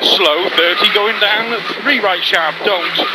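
The sound is dry with no echo, and loud background noise is present. The speech comes at a very slow pace. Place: car. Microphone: headset.

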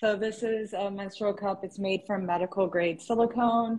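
Somewhat breathy speech moves at a fairly slow pace with fairly even intonation. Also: woman. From East Africa. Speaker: startup founder; guest. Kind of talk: casual chat. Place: home room. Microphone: earbuds.

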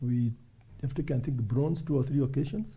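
This man's voice has a dark, mellow tone with some breathiness. His pitch varies in an ordinary way. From Kenya. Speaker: volleyball federation official and Olympic team chief. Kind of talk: interview. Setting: studio. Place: studio. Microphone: lapel.

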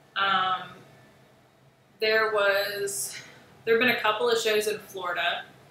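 Noticeable background noise and audible room echo surround a woman with a fairly high voice. She speaks at a very slow pace. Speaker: artist livestreaming sketches. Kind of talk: casual livestream chat.

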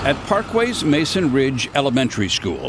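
A man at a fairly slow pace with very wide pitch swings, against noticeable background noise. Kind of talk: TV news feature narration.

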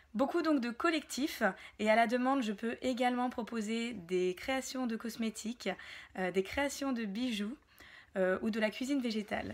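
At a moderate speed, a woman talks with ordinary pitch variation. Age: 30s. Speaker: wellness practitioner and entrepreneur; wellness workshop host. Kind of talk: self-presentation to camera. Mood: warm, smiling, friendly. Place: home room. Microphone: phone near.

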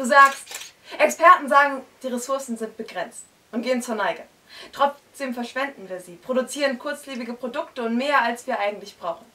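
Projecting her raised voice at a high pitch, a woman speaks at a moderate pace with ordinary pitch variation and big swings in loudness. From northern Germany, Hamburg area; northern Germany. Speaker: slam poet. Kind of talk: poetry slam performance. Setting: stage with audience in a bookshop. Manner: rhythmic. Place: shop.

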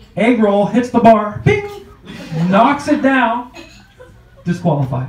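In an animated, playful tone, a man talks at an extremely high pitch with lively intonation, with light background noise and audible room echo. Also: long, frequent pauses. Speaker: comedian. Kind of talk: stand-up comedy. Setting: comedy club stage with audience. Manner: animated, punchy, playful crowd work; jokey, self-deprecating, with fast punchline delivery. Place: stage.

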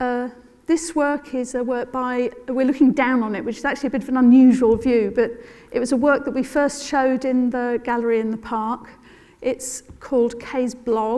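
Over a quiet background, a woman speaks at a moderate pace in a high pitch with fairly even intonation. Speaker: arts organisation co-founder and panel chair. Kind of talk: panel presentation. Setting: stage with audience. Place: stage. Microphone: lapel.

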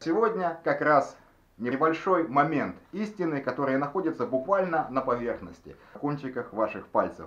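Speaking at a moderate pace, a man with an unremarkable speaking voice uses lively intonation at a fairly high pitch. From Russian Far East, Nikolayevsk-on-Amur. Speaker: video blogger. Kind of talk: tutorial.

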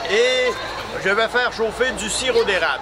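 A man talks at a moderate pace. Loud noise fills the background. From Quebec, Canada. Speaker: maple syrup maker at a sugar shack stand. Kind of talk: casual demonstration explaining to visitors. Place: market.

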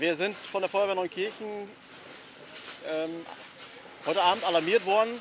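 A man's high-pitched voice at a moderate pace, with ordinary pitch variation, dry sound with no echo and noticeable background noise. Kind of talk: interview answer. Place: street.

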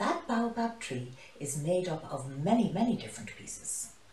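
Amid audible room echo, a woman speaks at a moderate pace in a fairly low pitch with big pitch swings and a slightly mellow tone.

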